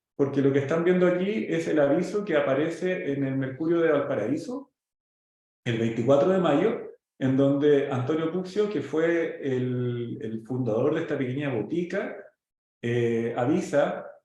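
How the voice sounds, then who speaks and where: The speaker goes at a fairly slow pace with ordinary pitch variation, and the room echo is audible. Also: man, fairly high pitch for a man. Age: 40s. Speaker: pharmaceutical company executive and startup mentor. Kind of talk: presentation with slides. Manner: halting, many fillers.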